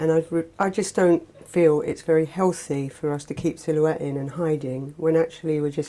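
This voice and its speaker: With an English accent, a woman speaks at a moderate pace with a very deep, low pitch and fairly even intonation. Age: 40s. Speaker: former heroin addict. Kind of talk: testimony. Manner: halting.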